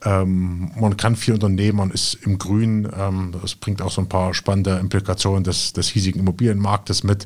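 This man has an ordinary speaking voice. His pitch is fairly low. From Jena, Thuringia, Germany. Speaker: real estate investor and company founder. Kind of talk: interview conversation.

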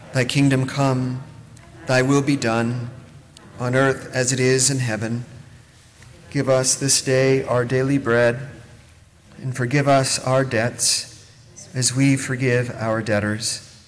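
Against noticeable background noise, a man at medium pitch speaks very slowly in monotone, flat intonation with long, frequent pauses. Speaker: pastor. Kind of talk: prayer. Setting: church.

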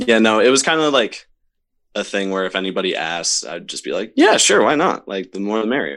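This man has an ordinary speaking voice and an American accent. His pitch is fairly low, with lively intonation. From Upstate New York, Camillus near Syracuse. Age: 20s. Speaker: show promoter and musician. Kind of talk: casual interview chat.

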